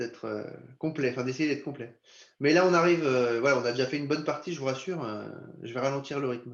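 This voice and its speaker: Audible room echo surrounds a man who talks at a fairly quick pace with a medium pitch and ordinary pitch variation. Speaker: insurance company representative. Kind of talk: webinar presentation. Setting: video conference. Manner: fast.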